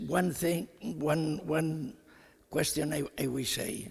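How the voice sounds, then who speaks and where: Very slowly and with vocal fry, a man speaks in a non-native accent. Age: 80s+. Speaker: elderly chess player. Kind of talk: unscripted remarks on stage. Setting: stage with audience. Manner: halting.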